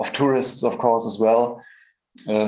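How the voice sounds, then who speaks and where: A man with a German accent speaks at a medium pitch, with audible echo from the room. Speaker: AI researcher. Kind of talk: conference presentation. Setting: stage at a conference.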